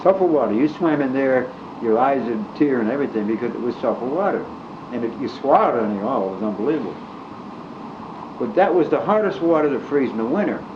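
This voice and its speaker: A man with an American accent, medium pitch and a very fast pace, over noticeable background noise. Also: lively intonation. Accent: Scranton Pennsylvania working-class. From Scranton, Pennsylvania. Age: 80s+. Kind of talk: storytelling, casual reminiscence. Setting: home cassette recording, fan noise.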